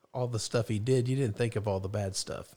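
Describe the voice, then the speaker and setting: A plain, everyday voice from a man, with lively intonation at a moderate pace, on a very clean recording with a silent background. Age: 50s. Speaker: guest parent. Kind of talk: casual chat. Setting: studio.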